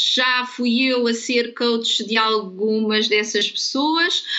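Over noticeable background noise, a woman speaks with fairly even intonation at a fairly high pitch. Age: 40s. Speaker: real estate consultant and coach. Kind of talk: interview. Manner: halting, repeats words.

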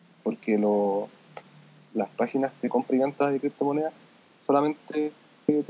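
This man speaks at a fairly quick pace in a Chilean accent, his fairly high pitch carrying lively intonation over a dry, close sound with no echo. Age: 20s. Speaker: software developer. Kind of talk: casual interview.

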